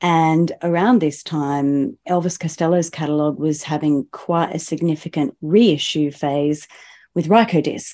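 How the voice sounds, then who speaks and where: A dark, mellow tone in an Australian accent, at a fairly slow pace with ordinary pitch variation, over a quiet background. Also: woman, very deep, low pitch for a woman. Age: 40s. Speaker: singer-songwriter. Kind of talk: casual chat.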